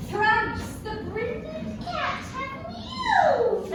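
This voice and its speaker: A female-sounding, put-on character voice speaks at a very slow pace. Clear echo and loud background noise fill the recording. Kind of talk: classical Shakespearean stage verse. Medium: stage play. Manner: rhythmic, incantatory.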